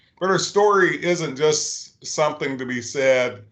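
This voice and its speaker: Audible room echo surrounds a man with an American accent whose pitch varies in an ordinary way. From Eastern Kentucky, Clay County. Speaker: educator, panelist. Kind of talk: panel discussion.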